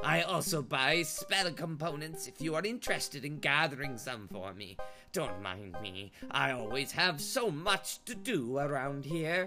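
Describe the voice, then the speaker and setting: A put-on character voice at low-to-middle pitch, with very wide pitch swings and a moderate pace. Clear music plays in the background. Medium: actual play. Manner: chatty, homely.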